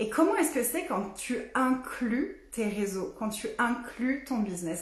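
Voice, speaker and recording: Amid audible room echo and noticeable background noise, a woman with a high pitch speaks at a very slow pace with lively intonation. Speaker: business and energy coach. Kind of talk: facebook live talk. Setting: live stream. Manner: animated.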